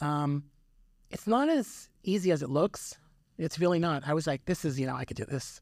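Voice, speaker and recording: Someone talks at a moderate pace with an American accent. The recording is very clean with a silent background. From New York (Yonkers). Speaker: optometrist. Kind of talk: interview.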